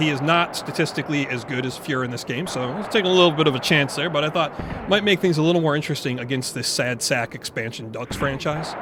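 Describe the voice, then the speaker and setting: Noticeable background noise sits behind a man with a fairly high pitch. He speaks very fast with hardly any pauses. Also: ordinary pitch variation. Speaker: video game commentator, retro hockey gamer. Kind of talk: play-by-play sports game commentary. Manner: casual, chatty, enthusiastic.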